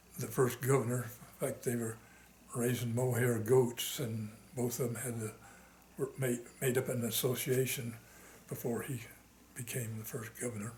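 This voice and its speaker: Somewhat breathy, with an American accent, the speaker's monotone, flat delivery comes with long, frequent pauses. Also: man, medium pitch for a man, moderate pace. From Arizona, US Southwest. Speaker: war veteran. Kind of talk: oral history interview. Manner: halting, many fillers.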